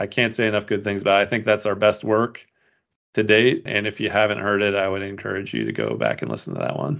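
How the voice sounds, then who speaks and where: Very fast speech from a man with a fairly low pitch and vocal fry. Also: fairly even intonation. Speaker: podcast host. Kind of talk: casual chat.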